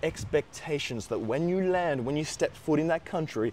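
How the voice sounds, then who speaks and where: A man talks with an Australian accent at a fairly quick pace. His voice is fairly high with ordinary pitch variation. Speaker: YouTuber giving study-abroad advice. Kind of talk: advice monologue.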